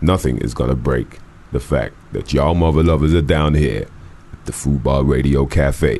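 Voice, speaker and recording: Against noticeable background noise, a man speaks at a moderate pace in a very deep, low voice with fairly even intonation. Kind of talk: casual chat. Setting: studio.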